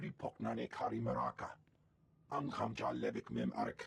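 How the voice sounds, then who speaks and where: Putting on a character voice, a man talks at a moderate pace. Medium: video game. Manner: speaks alien language.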